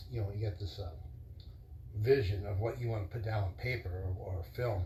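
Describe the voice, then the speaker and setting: A man mumbling at a very fast pace, fairly low-pitched and somewhat breathy, with ordinary pitch variation and audible room echo. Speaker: vlogger. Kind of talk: casual monologue. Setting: live stream. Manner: rambling, halting.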